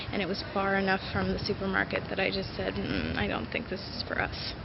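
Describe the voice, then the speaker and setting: Over noticeable background noise, the speaker moves along at a fairly quick pace. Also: woman. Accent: American. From United States. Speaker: vlogger. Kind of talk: casual storytelling vlog.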